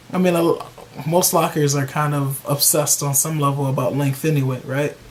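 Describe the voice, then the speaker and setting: A man's fairly high-pitched voice with monotone, flat intonation, over noticeable background noise. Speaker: YouTube hair care vlogger. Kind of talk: casual vlog talk to camera. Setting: at home with a bag over his hair. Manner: loud.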